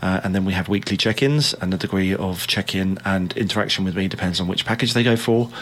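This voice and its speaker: A man with a very deep, low voice talks at a fairly quick pace with fairly even intonation. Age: 30s. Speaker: personal trainer. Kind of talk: casual chat.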